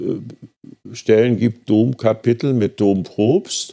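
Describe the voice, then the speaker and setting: Very slowly, a man speaks in a fairly low voice with a dark, mellow tone. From Berlin. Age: 80s. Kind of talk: interview. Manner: halting.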